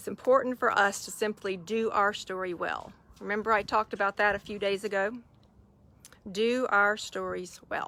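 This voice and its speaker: The voice has a warm yet bright, sharp tone with a slight Southern US accent. It moves at a moderate pace with fairly even intonation. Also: woman, medium pitch for a woman. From US South. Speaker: faith-based online mentor. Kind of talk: live stream talk to viewers. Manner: warm, conversational.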